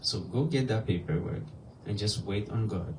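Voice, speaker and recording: With a West African accent, a man talks at a moderate pace in a dark, mellow, somewhat breathy voice with lively intonation, and audible room echo surrounds him. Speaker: nonprofit executive director, guest speaker. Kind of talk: sermon-style testimony. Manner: halting, with fillers.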